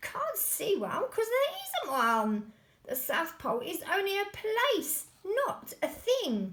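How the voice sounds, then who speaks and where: Using a put-on character voice, a woman cackles in a shrill, extremely high pitch with very wide pitch swings at a fairly slow pace. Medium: read story. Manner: blunt, cackling.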